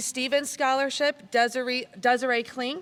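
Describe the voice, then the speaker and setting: A woman with an American accent speaks at a moderate pace. Her pitch is high and her intonation fairly even. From US Midwest, Michigan. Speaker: community foundation director. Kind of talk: award ceremony speech. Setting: school gymnasium with audience, PA system. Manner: loud.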